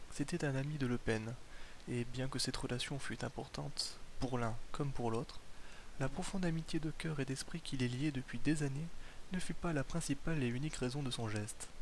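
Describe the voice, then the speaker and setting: Fairly high in pitch, a man speaks at a moderate pace with ordinary pitch variation. His loudness stays very even. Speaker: ASMR reader. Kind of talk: ASMR book reading, bedtime.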